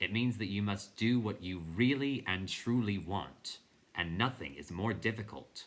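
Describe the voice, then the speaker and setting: Someone uses a rumbling, put-on character voice at a moderate pace. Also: man, fairly low pitch for a man. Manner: grave, solemn.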